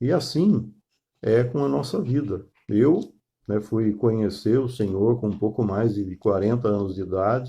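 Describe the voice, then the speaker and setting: In a dark, mellow, somewhat breathy tone, a man speaks at a fairly slow pace with lively intonation. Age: 60s. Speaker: pastor. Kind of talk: sermon. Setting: online live stream. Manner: halting, many fillers.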